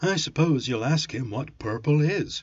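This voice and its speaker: Putting on a character voice, a man speaks at a moderate pace with a fairly high pitch. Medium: read story. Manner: light, bantering.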